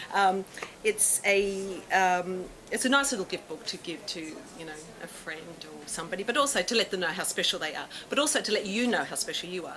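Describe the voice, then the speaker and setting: A woman talks at a very fast pace with lively intonation and big swings in loudness. Background noise is noticeable. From Australia, Melbourne. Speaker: tarot reader and author. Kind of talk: public talk. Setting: talk with live audience. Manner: hesitant, many fillers.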